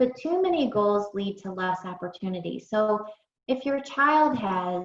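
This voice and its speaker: A woman with an unremarkable speaking voice, medium pitch and lively intonation at a fairly slow pace. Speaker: early intervention specialist. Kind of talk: webinar presentation.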